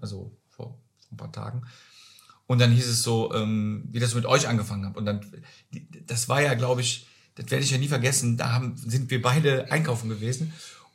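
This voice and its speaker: Here a man speaks at a medium pitch with vocal fry. His pace is fairly quick and his intonation fairly even. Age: 50s. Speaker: social insurance clerk. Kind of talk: casual chat.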